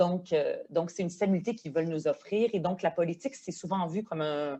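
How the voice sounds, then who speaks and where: A woman speaks with a Quebec accent. Her tone is dark and mellow, with ordinary pitch variation. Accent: Québécois French. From Quebec, arrived from Lebanon at age ten. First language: Arabic (speaking French). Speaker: politician, member of provincial legislature. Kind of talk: podcast interview. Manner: hesitant, many fillers.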